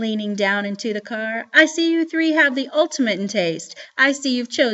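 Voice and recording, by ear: The intonation is lively as the voice reads aloud naturally.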